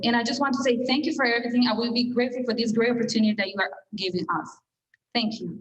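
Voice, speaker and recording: A woman with a non-native accent, fairly high pitch, very fast delivery and fairly even intonation. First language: not English. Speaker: adult English learner. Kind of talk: prepared speech.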